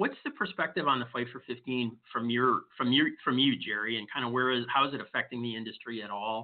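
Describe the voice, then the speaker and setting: A man with an American accent talks at a fairly quick pace in a medium pitch, using an ordinary speaking voice. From US Midwest, Detroit. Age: 60s. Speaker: HR podcast host. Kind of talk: casual interview.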